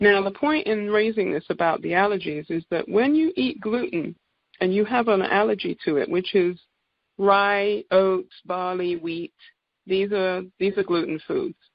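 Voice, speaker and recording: An English accent at a fairly slow pace with lively intonation. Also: woman, medium pitch for a woman. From England. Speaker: naturopathic doctor. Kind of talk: sales presentation on a group call. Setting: conference call.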